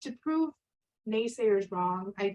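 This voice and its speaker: A woman with a Spanish accent. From Connecticut, US. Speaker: scientist. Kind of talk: career talk with slides.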